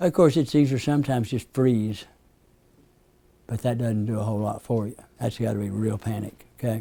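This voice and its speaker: A man's dark, mellow voice in an Appalachian accent, medium in pitch, fairly quick, with ordinary pitch variation and long, frequent pauses. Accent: Southern US (Appalachian). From US South, East Tennessee. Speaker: hypnotherapist teaching a class. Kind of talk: lecture to a class. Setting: classroom with group. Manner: conversational, asks the audience questions.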